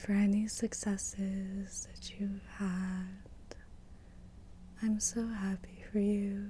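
A soft-spoken woman with a warm tone, a very slow pace, long and frequent pauses, and light background noise. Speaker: Reiki master teacher. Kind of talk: ASMR reiki session. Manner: whispered; soft-spoken, warm, encouraging. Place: home room. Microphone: studio mic.

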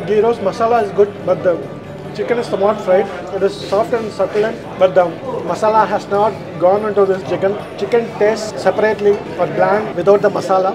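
A man rattles on very fast while music runs underneath. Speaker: food reviewer. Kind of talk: food review vlog commentary. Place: cafe.

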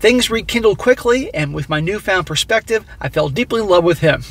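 The sound is dry with no echo as a man speaks fairly quickly. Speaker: commentary vlogger. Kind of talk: casual commentary, partly reading a story aloud. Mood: judgmental, exasperated. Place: car.

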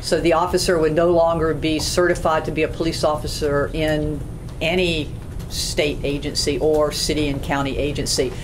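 A woman's very deep, low voice in monotone, flat intonation, at a moderate pace over noticeable background noise. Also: very even loudness. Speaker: police chief. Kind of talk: formal public meeting report. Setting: conference room meeting. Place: meeting room.

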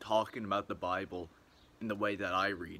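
Moderate pace with fairly even intonation. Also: man. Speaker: vlogger. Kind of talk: casual vlog chat. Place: garden. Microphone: phone near.

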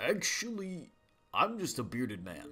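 A man puts on a gruff, high-pitched character voice at a moderate pace. Faint music plays in the background. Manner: calm.

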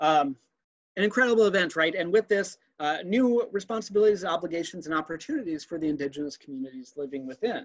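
Against a quiet background, a man speaks at a fairly quick pace and a high pitch with lively intonation. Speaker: anthropology museum curator; presenter. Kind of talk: virtual museum tour presentation. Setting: video call. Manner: enthusiastic. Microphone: webcam.

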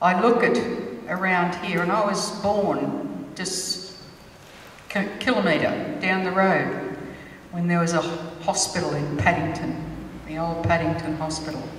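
With audible room echo and light background noise, a woman speaks at a fairly low pitch and a fairly slow pace, with ordinary pitch variation and long, frequent pauses. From Sydney, Australia (Alexandria). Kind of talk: ceremonial welcome speech. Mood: proud, warm, measured. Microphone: handheld.

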